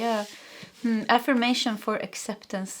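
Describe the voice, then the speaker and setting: A woman speaks. Her intonation is flat and monotone. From Sweden. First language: Swedish. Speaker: tarot reader. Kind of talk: tarot reading. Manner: halting.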